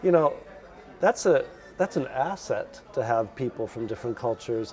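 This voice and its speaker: Someone with an American accent speaks at a moderate pace. Noticeable noise runs in the background. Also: man. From US Midwest, Chicago suburbs. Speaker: lecturer. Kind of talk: casual interview.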